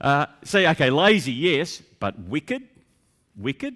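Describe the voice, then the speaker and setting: Very wide pitch swings mark this voice with an Australian accent, heard on a very clean recording with a silent background. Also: man. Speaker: pastor. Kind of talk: sermon.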